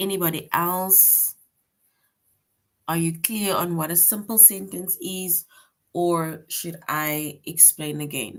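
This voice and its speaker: A woman speaks at a very slow pace with fairly even intonation and long, frequent pauses. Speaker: teacher. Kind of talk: online class lecture.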